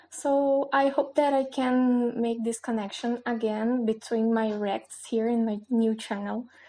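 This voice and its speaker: Her pitch fairly high, a woman speaks at a fairly slow pace in a monotone, flat intonation. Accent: Brazilian. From Brazil. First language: Portuguese. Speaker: new channel host. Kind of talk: casual talk to camera. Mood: warm, friendly. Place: home room. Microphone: webcam.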